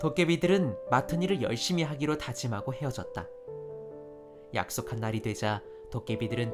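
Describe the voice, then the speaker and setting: A man talks at a moderate speed while music plays in the background. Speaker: voice actor. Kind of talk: narration.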